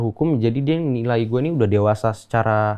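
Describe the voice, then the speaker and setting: Here is a man with a plain, everyday voice. He talks at medium pitch and a fairly quick pace. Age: 20s. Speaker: podcast guest. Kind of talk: casual chat.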